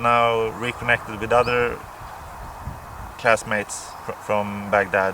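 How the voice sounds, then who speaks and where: There is noticeable background noise behind this man's medium-pitched voice. He speaks very slowly with monotone, flat intonation. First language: Swedish or Finnish. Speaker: pipe smoking vlogger. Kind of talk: casual monologue to camera. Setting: outdoors near a farmhouse. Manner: hesitant, many fillers and repeats.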